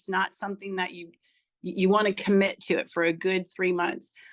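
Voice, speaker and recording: A woman at medium pitch and a fairly quick pace. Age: 60s. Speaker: testimonial speaker, product user. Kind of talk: personal testimony. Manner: casual, halting with repetitions.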